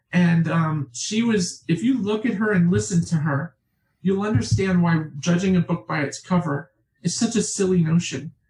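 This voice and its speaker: With an American accent, a woman speaks at a moderate pace in a dark, mellow, somewhat breathy tone, her fairly low pitch carrying lively intonation at very even loudness. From New York State, Catskills. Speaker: author. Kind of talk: interview conversation. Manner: talkative.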